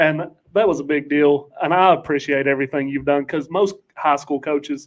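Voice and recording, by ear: A man speaks at a moderate pace and a fairly high pitch, keeping his intonation fairly even.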